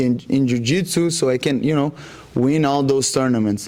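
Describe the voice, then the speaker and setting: Someone talks at a fairly quick pace with a Brazilian accent. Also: man. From Brazil, Rondônia. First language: Portuguese. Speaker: jiu-jitsu athlete. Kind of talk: interview. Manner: halting, many fillers.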